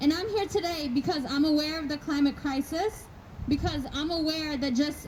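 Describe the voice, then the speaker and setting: The voice moves at a moderate pace with ordinary pitch variation against noticeable background noise. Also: woman. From Ethiopia. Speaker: climate organizer. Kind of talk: rally speech. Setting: stage with audience.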